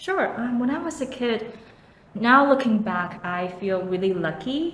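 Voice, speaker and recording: Amid noticeable background noise and audible room echo, a woman speaks at a fairly slow pace with an American accent. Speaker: museum and cultural researcher, YouTuber. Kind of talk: interview.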